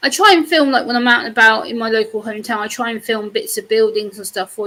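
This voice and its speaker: A woman's fairly high voice with an English accent and ordinary pitch variation. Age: 30s. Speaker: YouTuber. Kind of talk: casual chat.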